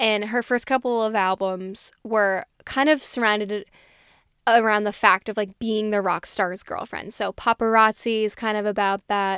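This woman sounds enthusiastic and animated, with a fairly high pitch and a New Jersey accent. The recording is very clean, with a silent background. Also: moderate pace, dry, close sound with no echo. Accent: New Jersey American. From New Jersey, US. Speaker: podcast host. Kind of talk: casual solo podcast monologue. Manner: chatty, enthusiastic, animated; filler-heavy, self-correcting.

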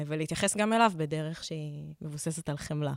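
In a very clean recording with a silent background, a woman speaks at a moderate pace in a fairly low voice with ordinary pitch variation. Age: 20s. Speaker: therapist leading communication workshops. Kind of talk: interview.

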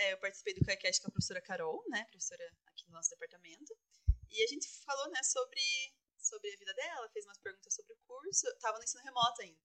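A woman talks at a very fast pace in a high pitch, with very wide pitch swings and big swings in loudness, in a dry, close sound with no echo. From Paraná, Brazil (Castro). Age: 20s. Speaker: engineering student and student union president. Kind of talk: casual interview.

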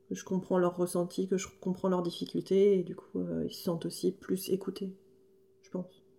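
Her voice has a dark, mellow tone with vocal fry, and the woman keeps a medium pitch in monotone, flat intonation while her loudness swings widely. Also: moderate pace. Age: 30s. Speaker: agricultural trainer and farmer. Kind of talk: interview.

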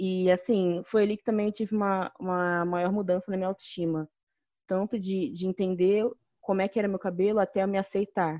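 A woman's medium-pitched voice, fairly quick, in a monotone, flat intonation. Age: 20s. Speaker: journalism student. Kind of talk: casual interview. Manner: hesitant, many fillers.

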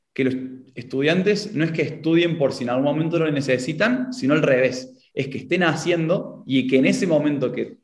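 With a Córdoba accent, a man speaks at a moderate pace with ordinary pitch variation. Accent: Cordobés Argentine. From Argentina, Córdoba. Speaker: education entrepreneur, engineer. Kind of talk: interview conversation. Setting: remote call.

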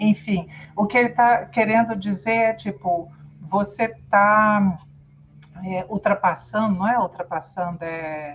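A woman's somewhat breathy voice at medium pitch, fairly slow in pace, with ordinary pitch variation. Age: 50s. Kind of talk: casual chat.

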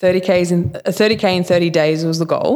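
This woman has an ordinary speaking voice. She talks at a medium pitch and a moderate pace. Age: 20s. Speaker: podcast host and coach. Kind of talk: casual chat.

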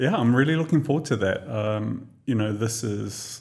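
A man speaks with a New Zealand accent. His pitch is fairly low and his pace moderate. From New Zealand, Tokomaru Bay. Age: 40s. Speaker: podcast co-host. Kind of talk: casual interview chat.

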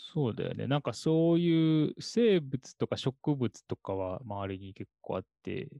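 Hardly pausing, a man talks at a fairly slow pace and fairly high pitch, his pitch swinging very widely. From southern Osaka, Japan. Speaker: podcast co-host. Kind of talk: casual chat.

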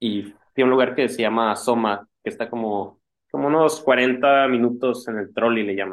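A man talks at a medium pitch. His pace is moderate and his pitch varies in an ordinary way. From Mexico, Tijuana. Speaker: punk band guitarist. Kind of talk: casual interview chat. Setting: video call.

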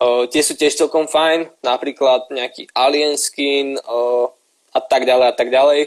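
A man at a fairly slow pace, in monotone, flat intonation. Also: fairly high pitch for a man. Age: 20s. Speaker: photographer and student. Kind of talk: casual live-stream interview.

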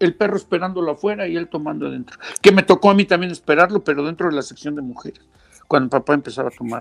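With a Mexican accent, a man races along at a very fast pace in a high voice, his loudness swinging widely in a dry, close sound with no echo. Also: ordinary pitch variation. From Mexico, Mexico City and Huasteca of Hidalgo. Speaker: voice actor and guest. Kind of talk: casual chat.

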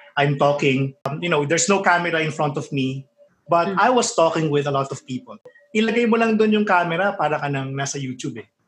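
Very fast delivery with lively intonation. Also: man, fairly high pitch for a man. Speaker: tech blogger and digital media entrepreneur. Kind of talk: casual interview. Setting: video call.

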